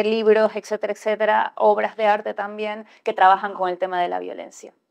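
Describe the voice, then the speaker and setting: A woman speaks in a flat monotone against a quiet background. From Ecuador. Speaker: writer; panelist. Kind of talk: panel discussion. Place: hall.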